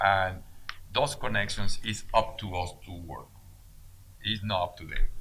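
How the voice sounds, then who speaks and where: A man's fairly low, bright, sharp voice in a Mexican accent, fairly slow and fairly even in intonation, with long, frequent pauses. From Mexico. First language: Spanish. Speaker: business owner. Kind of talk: interview.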